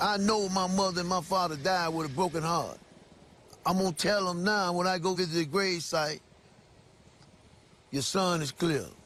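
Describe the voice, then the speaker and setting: Music plays in the background as a man speaks high in pitch with fairly even intonation. His speech has long, frequent pauses. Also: moderate pace. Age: 60s. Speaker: exonerated former prisoner. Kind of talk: interview.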